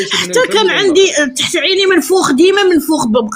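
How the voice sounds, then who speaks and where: Against noticeable background noise, a woman with a Moroccan accent speaks at an extremely high pitch with ordinary pitch variation. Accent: Moroccan Darija. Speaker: caller sharing a health testimony. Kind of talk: testimony. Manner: animated.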